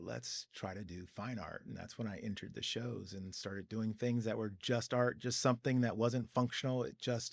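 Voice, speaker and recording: A man speaks at a moderate pace and medium pitch, with fairly even intonation, in an ordinary speaking voice. The recording is very clean with a silent background. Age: 60s. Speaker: sculptor. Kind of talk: interview.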